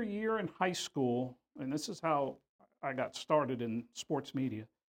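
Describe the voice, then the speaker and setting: A man with an American accent has a normal speaking voice. He talks at a fairly slow pace with lively intonation. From Houston, Texas. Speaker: retired sports reporter. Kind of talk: interview.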